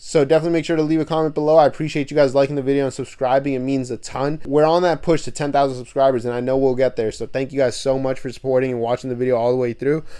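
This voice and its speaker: A man talks at a very fast pace with a fairly high pitch, fairly even intonation and a dark, mellow tone. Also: hardly any pauses. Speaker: music commentary youtuber. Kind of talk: casual vlog commentary.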